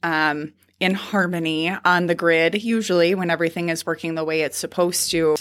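In an Upper Midwest accent, the speaker talks at a fairly quick pace with a flat, monotone delivery. The recording is very clean with a silent background. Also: woman, fairly low pitch for a woman. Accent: Upper Midwest American. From North Dakota (near Dodge). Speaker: state senator. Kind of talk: interview. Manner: gestures a lot while talking.

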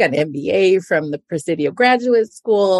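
This is a woman with a normal speaking voice, at a moderate pace and with lively intonation. The sound is dry and close, with no echo. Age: 50s. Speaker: podcast host and investor. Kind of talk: scripted intro; interview.

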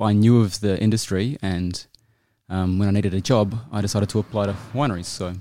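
A man with a New Zealand accent speaks at a fairly low pitch in a dark, mellow tone with fairly even intonation. The recording is very clean, with a silent background. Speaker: winemaker. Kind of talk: interview. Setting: winery.

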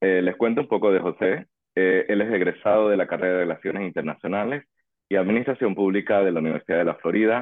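The man's pitch is fairly low, with ordinary variation. He speaks at a very fast pace in a very even loudness. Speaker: podcast host. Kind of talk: interview.

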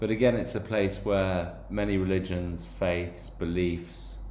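Audible room echo surrounds a man speaking at a very slow pace in a very deep, low pitch. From Ireland/England (Irish and English background). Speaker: podcast host. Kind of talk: personal monologue podcast. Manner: hesitant with frequent fillers and repetitions.

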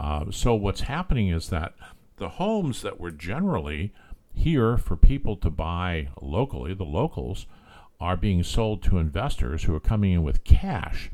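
A man's very deep, low voice with an American accent, a dark, mellow tone and vocal fry, very wide pitch swings and big swings in loudness. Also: moderate pace, very clean recording, silent background. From California. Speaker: real estate agent and podcast host. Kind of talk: solo podcast monologue.

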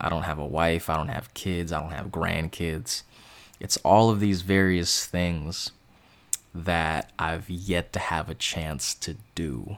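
At a very slow pace, a man with an American accent speaks very deep and low, with ordinary pitch variation. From US West Coast, Bay Area (East Bay). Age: 20s. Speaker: sports podcaster. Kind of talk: monologue commentary. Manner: halting.

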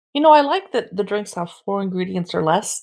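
With an American accent and lively intonation, a woman speaks in a normal speaking voice at medium pitch on a very clean recording with a silent background. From San Diego, California. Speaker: podcast host.

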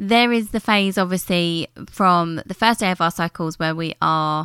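A woman's bright, sharp, fairly low voice with a British accent, dry and close with no echo, on a very clean recording with a silent background. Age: 30s. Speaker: beauty business coach. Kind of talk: solo podcast monologue. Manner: casual, conversational.

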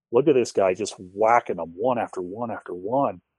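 A man's normal speaking voice, medium-pitched, with an American accent, at a moderate pace, in a dry, close sound with no echo and a quiet background. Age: 30s. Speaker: bowhunter. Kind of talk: casual chat.

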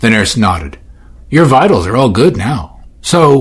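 The voice is natural. It reads the words aloud.

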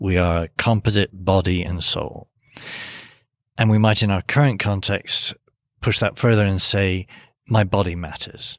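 With an English accent, the speaker goes at a fairly slow pace, leaving long, frequent pauses and keeping the intonation fairly even. The sound is dry and close with no echo, on a very clean recording with a silent background. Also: man, fairly low pitch for a man. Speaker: priest and seminary professor. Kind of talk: academic interview discussion.

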